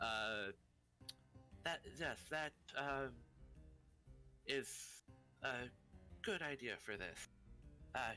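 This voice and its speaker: A man in a put-on character voice, with faint music in the background. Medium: actual play.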